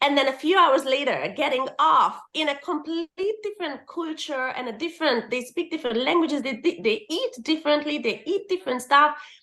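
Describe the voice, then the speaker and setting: This woman speaks in a raised, projected voice with a bright, sharp tone. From Hungary. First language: Hungarian. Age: 40s. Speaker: permanent makeup artist and teacher. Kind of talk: casual interview chat.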